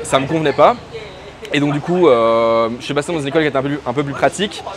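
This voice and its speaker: Against noticeable background noise, a man with a fairly high pitch speaks at a very fast pace with ordinary pitch variation. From Belgium, Brussels. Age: 30s. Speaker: freelance digital marketer. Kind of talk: interview. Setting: in person, Chiang Mai. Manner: hesitant, many fillers.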